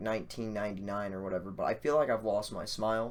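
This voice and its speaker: A man's medium-pitched voice at a moderate pace. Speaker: gaming live streamer. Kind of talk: casual live stream talk. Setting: live stream on camera. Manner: subdued, low energy.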